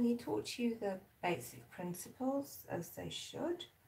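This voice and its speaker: A woman with a South African accent speaks at a fairly slow pace, somewhat breathy, with a dark, mellow tone. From South Africa, Durban. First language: Zulu. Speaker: artist. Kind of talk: casual live-stream chat while painting. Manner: relaxed, chatty.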